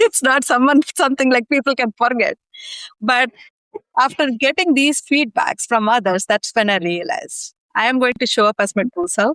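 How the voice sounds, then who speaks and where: Speaking in an Indian accent, a woman uses a high pitch and lively intonation at a moderate pace. The sound is dry and close with no echo. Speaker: executive leader and community founder. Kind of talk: interview. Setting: podcast recording. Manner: many fillers (ums and ahs).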